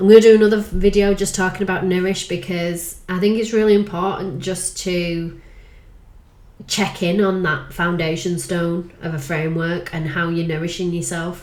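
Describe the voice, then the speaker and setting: This woman's voice sits fairly low and stays monotone, with flat intonation. Room echo is audible. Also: moderate pace. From northern England, Manchester/Lancashire. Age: 40s. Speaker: life coach. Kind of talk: casual vlog monologue.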